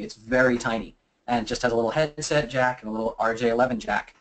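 The man's delivery is very fast. Normal pitch movement runs through his speech. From US mid-Atlantic, Philadelphia. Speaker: physical penetration tester and security presenter; presenter. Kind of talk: webinar presentation; Q&A answering audience questions. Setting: online webinar. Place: office. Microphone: webcam.

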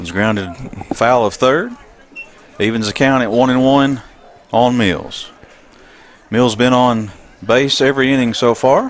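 A medium-pitched male voice at a fairly slow pace, with ordinary pitch variation, long and frequent pauses, and noticeable background noise. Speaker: play-by-play announcer. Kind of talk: live sports commentary. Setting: stadium press box, live broadcast.

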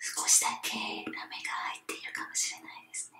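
The speaker is whispering. The pace is moderate. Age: 30s. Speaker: ASMR video creator. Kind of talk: ASMR bath bomb demo, whispered talk to camera. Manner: whispered, soft, relaxing. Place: bathroom. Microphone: phone near.

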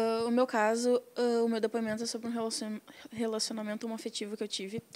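At a moderate pace, this woman's voice sits fairly high. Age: young. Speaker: activist, documentary participant; guest. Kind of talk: interview. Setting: studio. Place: studio. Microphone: handheld.

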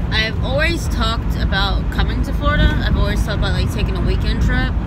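Over loud background noise, a woman talks at a very fast pace in a dry sound with no echo. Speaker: vlogger on road trip. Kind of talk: casual vlog chat. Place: car. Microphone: phone near.

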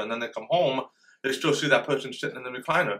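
A man's voice with a bright, sharp tone shows ordinary pitch variation. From Florida, US South. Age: 40s. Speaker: deaf man sharing his life story; interview guest. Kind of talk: personal life story testimony. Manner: hesitant, many fillers and repetitions. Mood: reflective, serious. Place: studio.

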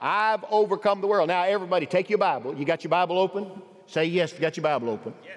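The speaker is a man with a high-pitched voice. He talks at a fairly quick pace. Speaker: pastor. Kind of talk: sermon. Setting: church. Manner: animated, exhorting, with rhetorical questions and calls for amens. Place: church. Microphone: headset.

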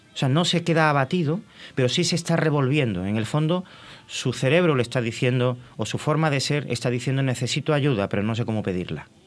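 A man rushes along at a very fast pace with lively intonation. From Madrid, Spain (born in Cádiz). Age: 50s. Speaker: former TV director, tourism association president, depression foundation representative. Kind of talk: TV interview. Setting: TV studio. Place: studio. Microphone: studio mic.

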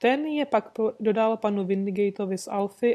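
The reading voice is unforced, and its pitch varies in an ordinary way.

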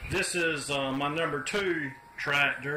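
Noticeable background noise runs through the clip. A man talks over it, his intonation fairly even. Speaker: hobbyist tractor restorer. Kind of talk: casual vlog chat. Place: garage. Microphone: phone near.

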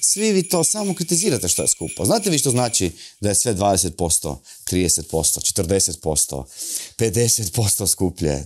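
A man speaks at a moderate pace. Behind him, music can be heard. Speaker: satirical comedy show host. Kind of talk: satirical monologue to camera. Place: studio. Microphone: lapel.

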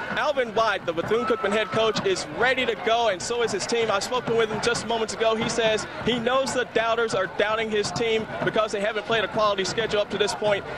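Over noticeable background noise, a man with a high voice talks at a fairly quick pace with hardly any pauses, monotone intonation and very even loudness. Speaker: sideline reporter. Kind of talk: live field report.

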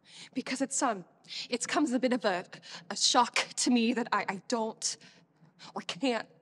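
A high-pitched woman's voice at a moderate pace with ordinary pitch variation. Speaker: actor performing a monologue. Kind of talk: dramatic monologue. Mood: troubled, emotional, hesitant. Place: stage.

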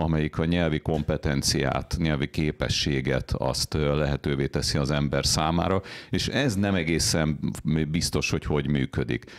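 A man's very deep, low voice with vocal fry, fairly slow, against a quiet background. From Hungary. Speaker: internet linguist. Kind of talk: panel discussion. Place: studio. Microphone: studio mic.

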